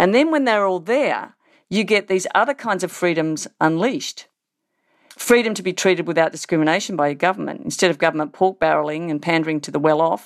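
Talking at a fairly quick pace, a woman with an Australian accent uses lively intonation at a medium pitch. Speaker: political science professor. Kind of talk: interview.

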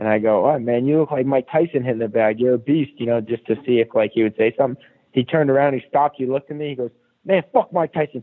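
Speaking with an American accent, a man goes at a very fast pace. His voice sits at a medium pitch and varies in an ordinary way. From Boston area, Massachusetts. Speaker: MMA fighter. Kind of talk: casual interview. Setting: phone call.

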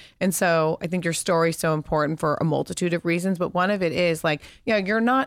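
A woman with a fairly low pitch uses an ordinary speaking voice at a fairly quick pace. Her pitch variation is ordinary, and the recording is very clean with a silent background. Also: very even loudness. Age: 30s. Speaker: podcast host. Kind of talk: casual interview.

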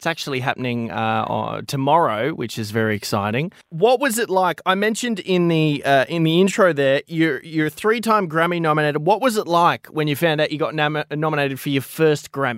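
With an Australian accent, a man talks at a moderate pace with hardly any pauses. His pitch is fairly high and his intonation lively. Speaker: radio breakfast host. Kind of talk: radio phone interview. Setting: radio studio.

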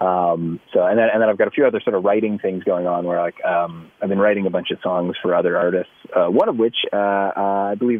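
An ordinary speaking voice from a man, fairly low in pitch, at a fairly quick pace. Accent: Canadian. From Canada. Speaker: country singer and actor. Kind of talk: casual chat.

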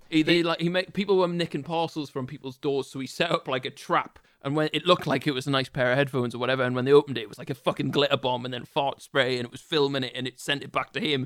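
A man with a British accent talks at a very fast pace, with hardly any pauses. His pitch is fairly high and his loudness swings widely. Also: ordinary pitch variation. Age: 20s. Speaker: podcast co-host. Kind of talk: casual chat.

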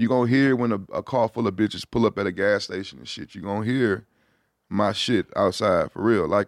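A man with an American accent talks in a normal speaking voice at a fairly quick pace, his fairly low pitch showing ordinary variation and big swings in loudness. The recording is very clean with a silent background and a dry, close sound with no echo. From Houston, Texas. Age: 30s. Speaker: rapper and producer. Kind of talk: casual chat. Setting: studio.

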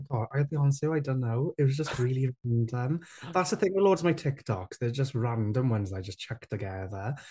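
A man's medium-pitched, somewhat breathy voice with a dark, mellow tone, in a South Wales Valleys accent, with lively intonation at a fairly quick pace against a quiet background. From south Wales valleys (Rhondda). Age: 20s. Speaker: TikTok creator and presenter. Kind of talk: interview.

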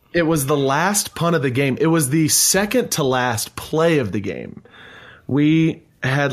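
A man delivers his words at a very slow pace. The recording is very clean, with a silent background. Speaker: podcast host. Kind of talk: casual chat.

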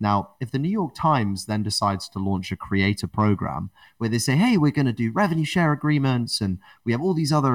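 In a very clean recording with a silent background and a dry, close sound with no echo, a man with a British accent speaks at a fairly quick pace with lively intonation. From England. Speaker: podcast network builder and podcaster. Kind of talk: interview conversation.

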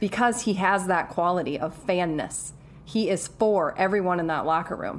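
A woman speaks at a medium pitch and a moderate pace. Hers is an ordinary speaking voice with ordinary pitch variation. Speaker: podcast host.

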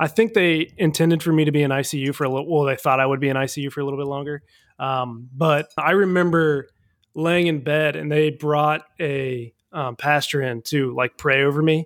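A plain, everyday voice from a man with an American accent, fairly high in pitch, at a moderate pace with fairly even intonation. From US Midwest, Cincinnati. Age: 20s. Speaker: accident survivor. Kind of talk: casual chat.

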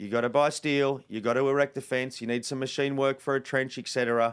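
This man has a fairly high pitch and an Australian accent. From Western Sydney, Australia. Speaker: wildlife conservationist and TV presenter. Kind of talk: interview conversation. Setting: in person.

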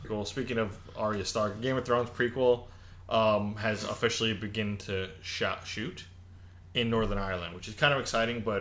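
An ordinary speaking voice moves along at a moderate pace. The intonation stays fairly even. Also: man, fairly low pitch for a man. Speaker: podcast co-host. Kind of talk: casual chat.

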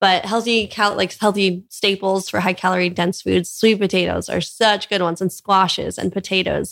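A woman of medium pitch speaks in a monotone, flat intonation on a very clean recording with a silent background. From US West Coast, Orange County, California. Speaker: plant-based mother and blogger. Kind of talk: interview conversation. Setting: in person on Maui.

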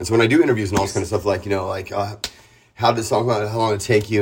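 Recorded very cleanly over a silent background, a man with an American accent sounds somewhat breathy. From San Diego, California. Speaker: punk rock singer. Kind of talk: casual interview.

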